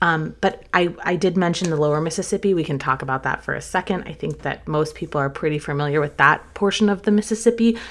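Here a woman with an American accent talks at a fairly quick pace, using ordinary pitch variation. The recording is very clean, with a silent background. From US South, North Carolina. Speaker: travel podcast host. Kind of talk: solo podcast monologue. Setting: studio.

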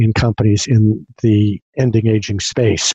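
A somewhat breathy male voice, dry and close with no echo, against a quiet background. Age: 60s. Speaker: futurist and podcast host. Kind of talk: casual interview.

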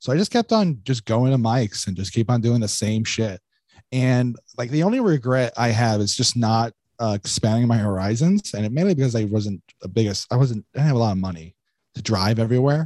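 Recorded dry and close with no echo, a man with an unremarkable speaking voice talks at a medium pitch and a fairly quick pace, his pitch varying in an ordinary way. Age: 20s. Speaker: stand-up comedian. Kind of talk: casual chat.

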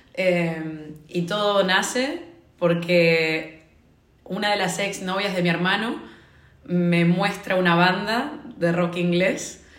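Speech comes at a very slow pace with ordinary pitch variation. Noticeable background noise and audible room echo surround it. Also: woman, medium pitch for a woman. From Argentina. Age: 20s. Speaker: consultant. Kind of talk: casual chat.

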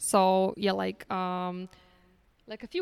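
A woman with a Polish accent speaks at a medium pitch and a fairly slow pace, her intonation monotone and flat. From Poland. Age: 30s. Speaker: guest, freelance copywriter. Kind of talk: casual interview chat.

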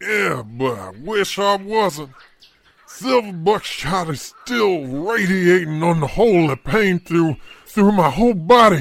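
High-pitched, put-on character voice from a man, delivered fairly slowly. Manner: sardonic, weary.

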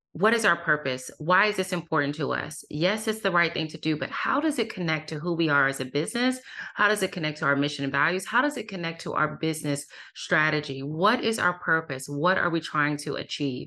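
A woman's very deep, low voice with a bright, sharp tone, lively intonation and a fairly quick pace. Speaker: author and workplace diversity expert. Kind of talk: interview. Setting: remote call. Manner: soothing.

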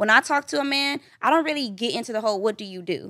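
A woman's unremarkable speaking voice comes at a fairly quick pace with lively intonation, recorded very cleanly against a silent background with a dry, close sound and no echo. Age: 20s. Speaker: podcast guest. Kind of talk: casual chat. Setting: studio.

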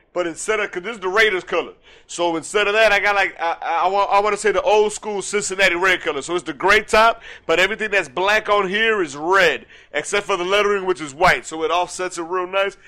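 Very fast and high-pitched, a man speaks in a bright, sharp tone. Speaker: podcast co-host. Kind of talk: casual chat. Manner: halting.

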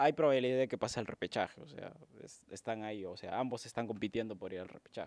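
Sounding dry and close with no echo, a man talks at a fairly quick pace. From Peru. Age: 20s. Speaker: podcast co-host. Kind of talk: casual chat. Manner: halting.

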